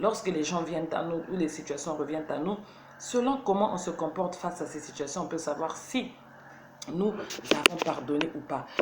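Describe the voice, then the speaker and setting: Audible room echo surrounds a woman with a fairly low voice. Her pace is moderate and her pitch varies in an ordinary way. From Burkina Faso, Ouagadougou. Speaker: motivational video host. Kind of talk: motivational talk. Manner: halting, searching for words.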